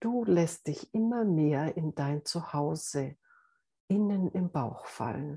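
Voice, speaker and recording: Somewhat breathy and dark, mellow in tone, the voice moves at a very slow pace with lively intonation, in a dry, close sound with no echo against a quiet background. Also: woman, very deep, low pitch for a woman. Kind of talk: guided meditation. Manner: slow, soft, calm and soothing.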